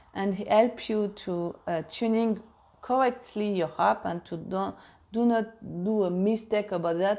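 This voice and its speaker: With a French accent, the speaker has a dark, mellow tone and ordinary pitch variation in a very clean recording with a silent background. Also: woman. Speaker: harp teacher. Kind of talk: casual vlog update. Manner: halting, many fillers.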